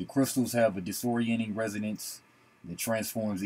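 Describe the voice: Fairly even intonation in plain reading aloud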